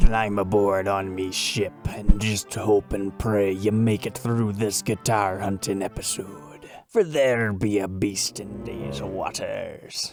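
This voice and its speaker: A man puts on a character voice at a fairly low pitch and a fairly slow pace. Faint music plays in the background. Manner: mock-dramatic, playful.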